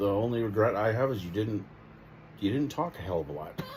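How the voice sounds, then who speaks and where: Audible room echo surrounds a man whose fairly low voice carries lively intonation. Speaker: vlogger's husband. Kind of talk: casual chat. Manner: talkative.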